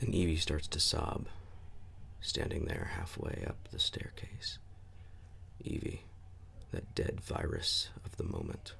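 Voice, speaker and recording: Whispering in a calm tone, a man talks at a fairly slow pace with long, frequent pauses. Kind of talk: ASMR book reading. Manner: soft-spoken, calm.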